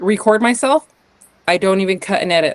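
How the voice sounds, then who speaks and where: A woman with an American accent uses a normal speaking voice at medium pitch, with ordinary pitch variation. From US West, northern Utah. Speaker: podcast guest, artist and business owner. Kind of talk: casual interview conversation.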